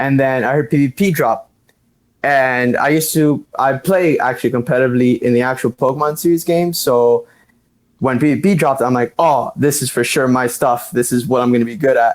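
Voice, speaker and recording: A man with an American accent speaks in a normal speaking voice at medium pitch, with ordinary pitch variation, very even loudness and a fairly quick pace, on a very clean recording with a silent background. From Miami, Florida. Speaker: competitive gamer. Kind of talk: casual chat.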